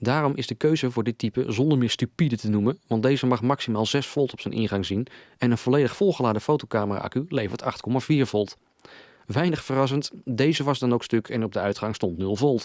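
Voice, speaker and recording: At a fairly quick pace with ordinary pitch variation, the voice comes through a very clean recording with a silent background and a dry, close sound with no echo. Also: man, medium pitch for a man. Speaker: electronics repair hobbyist. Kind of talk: repair video voice-over.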